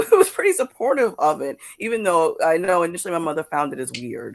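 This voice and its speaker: A woman speaks with a New York accent. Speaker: comics creator and awards judge. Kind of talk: interview on live podcast. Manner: halting, frequent repetitions.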